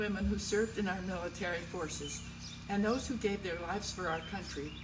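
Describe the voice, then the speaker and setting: Someone with an American accent speaks at a fairly quick pace. Noticeable background noise and audible room echo are present. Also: woman. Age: 80s+. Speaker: local historian. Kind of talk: prepared speech.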